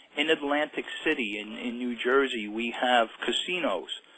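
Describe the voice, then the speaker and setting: Noticeable background noise sits behind a man speaking at a medium pitch and moderate pace with ordinary pitch variation. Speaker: self-help author. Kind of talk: interview. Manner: animated.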